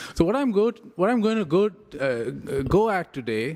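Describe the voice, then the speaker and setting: A man speaks with very wide swings in pitch. His pace is fairly slow. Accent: Indian. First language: Tamil. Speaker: professor. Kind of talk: lecture. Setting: conference with audience.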